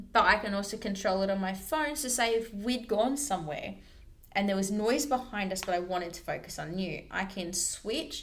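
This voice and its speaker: Her intonation is lively as a woman speaks at a medium pitch. Audible room echo surrounds her voice. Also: moderate pace. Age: 20s. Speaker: personal trainer. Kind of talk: casual chat. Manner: loud.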